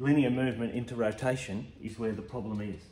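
A man's fairly even intonation, with light background noise and audible room echo. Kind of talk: tutorial. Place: garage. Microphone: phone near.

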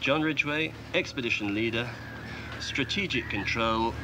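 Noticeable background noise sits behind a man speaking at a fairly low pitch. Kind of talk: briefing to a group. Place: open country.

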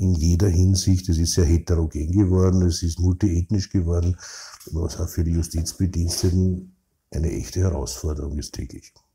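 A man with a Viennese accent has a very deep, low pitch and a dark, mellow tone. His intonation is fairly even and somewhat breathy. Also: moderate pace. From Vienna, Austria (16th district, working-class). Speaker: criminal defence lawyer. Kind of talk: interview. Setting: his law office.

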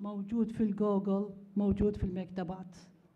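A dark, mellow tone, somewhat breathy, with an Iraqi accent. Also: woman. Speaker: conference presenter. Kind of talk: conference talk. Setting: conference hall with audience. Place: hall. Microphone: podium.

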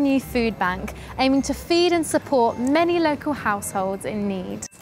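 A woman with a high-pitched voice speaks at a moderate pace in a relaxed tone, her intonation lively, with noticeable background noise behind her. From England. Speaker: TV presenter. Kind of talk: corporate promotional read. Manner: lively, relaxed, personable.

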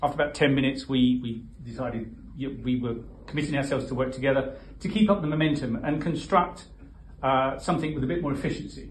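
A man talks at a very fast pace with ordinary pitch variation, with light background noise and audible room echo. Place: hall. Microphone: phone near.

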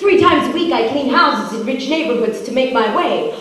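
A woman speaks at a moderate pace with strong room echo and light background noise. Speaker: spoken word poet. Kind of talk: performed spoken word poem. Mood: political, wry, humorous. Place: stage.

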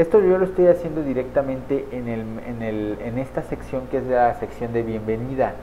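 A man talks at a moderate pace, his pitch medium with ordinary pitch variation.

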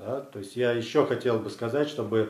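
A man speaks with a Russian accent. His pitch is medium, and audible room echo surrounds him. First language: Russian (speaking Latvian). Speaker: legal defender. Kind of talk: video statement. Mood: critical, indignant. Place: studio.

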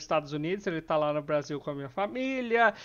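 Over a quiet background, a man talks in a fairly high pitch with lively intonation. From Brazil. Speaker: gaming YouTuber. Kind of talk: angry rant, venting about family and politics, then closing apology. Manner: irritated, stressed, rising frustration when talking about family; downcast, sad, apologetic. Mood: stressed but calm, apologetic. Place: home room. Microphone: headset.

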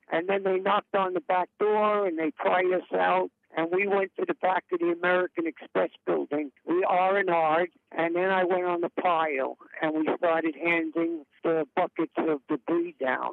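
A man with a New York accent and a high pitch keeps his loudness very even. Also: moderate pace. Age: 60s. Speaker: retired paramedic. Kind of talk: interview testimony.

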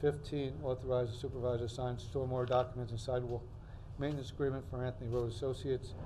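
Light background noise sits behind a man's voice. He speaks at a fairly quick pace with fairly even intonation. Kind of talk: reading meeting agenda. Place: hall. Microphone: podium.

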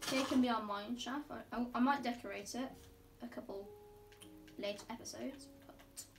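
Clear music plays in the background. The speech moves at a fairly slow pace with ordinary pitch variation. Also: woman. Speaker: gamer. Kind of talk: casual gameplay commentary. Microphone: phone near.

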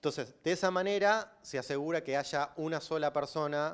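Ordinary pitch variation in a Rioplatense accent, against a quiet background. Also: man. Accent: Argentine Rioplatense Spanish. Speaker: systems engineer, bitcoin developer; conference speaker. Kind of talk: lecture. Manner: loud. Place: hall. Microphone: handheld.

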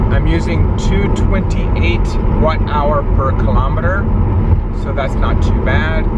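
Through loud background noise, a man speaks at a very slow pace, the sound dry with no echo. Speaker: road trip vlogger. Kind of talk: casual vlog chat. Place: car. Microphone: phone near.

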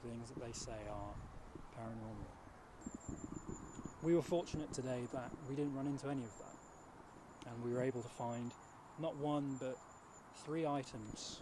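With long, frequent pauses, a man talks at a fairly slow pace and fairly even intonation in a dry sound with no echo, against noticeable background noise. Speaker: presenter. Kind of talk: mock documentary address to camera. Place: open country. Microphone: handheld.

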